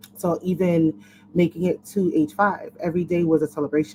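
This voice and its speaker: A woman with a dark, mellow tone speaks at a fairly slow pace, her pitch varying in an ordinary way. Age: 30s. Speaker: lifelong HIV survivor, panelist. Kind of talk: panel discussion on webinar.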